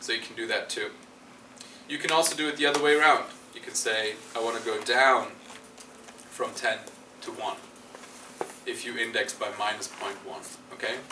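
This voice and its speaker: A man speaks at a fairly quick pace. Room echo is audible, and there is noticeable background noise. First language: not English. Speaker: university lecturer. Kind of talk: lecture. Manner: halting, many fillers.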